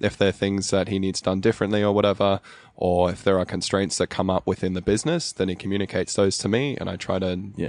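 A man with a fairly low pitch talks at a very fast pace, the sound dry and close with no echo. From South Africa (Cape Town), raised in Australia. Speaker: coffee roaster. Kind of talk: interview.

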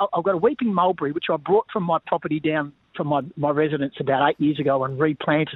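A man with an Australian accent talks at a very fast pace. His pitch is fairly high, with ordinary pitch variation. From Western Australia, Bunbury. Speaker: sports commentator and former football coach. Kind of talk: casual interview.

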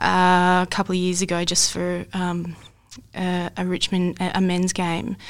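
A woman with an Australian accent and medium pitch is heard on a very clean recording with a silent background. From Australia, Mildura, Victoria. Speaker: football coach. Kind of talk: casual interview conversation. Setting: studio, in person.

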